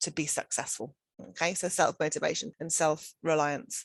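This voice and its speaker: The woman has a British accent and a fairly low pitch. She talks at a moderate pace with fairly even intonation against a quiet background. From United Kingdom. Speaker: education centre director. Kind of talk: webinar presentation. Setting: online webinar.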